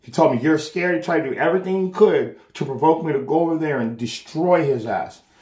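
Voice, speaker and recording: A man's fairly high voice, an ordinary speaking voice, with lively intonation at a fairly quick pace. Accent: American. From Los Angeles, US. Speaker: street preacher. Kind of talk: addressing camera viewers. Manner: agitated, repetitive.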